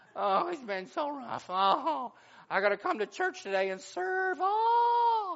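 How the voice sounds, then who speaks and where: Pitched high with very wide pitch swings, this put-on character voice moves at a fairly slow pace. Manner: whiny, complaining.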